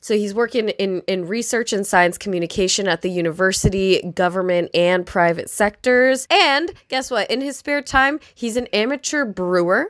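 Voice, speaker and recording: A plain, everyday voice speaks at a moderate pace with lively intonation and hardly any pauses, in a dry, close sound with no echo. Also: woman, medium pitch for a woman. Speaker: stand-up comedian and podcast host. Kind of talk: casual comedic chat.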